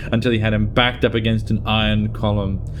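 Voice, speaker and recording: At a fairly quick pace, a man talks in a plain, everyday voice with a fairly low pitch. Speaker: voice actor. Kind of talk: story narration.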